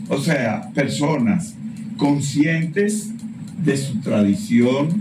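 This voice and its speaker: A man's fairly high voice, very slow pace and very wide pitch swings, with noticeable background noise and audible room echo. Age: 60s. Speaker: professor. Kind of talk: casual chat.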